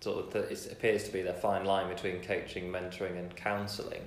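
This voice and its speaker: Audible room echo surrounds a man who talks at a fairly quick pace in a fairly low pitch. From Lincoln, England. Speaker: podcast host. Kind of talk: sponsor read; casual interview.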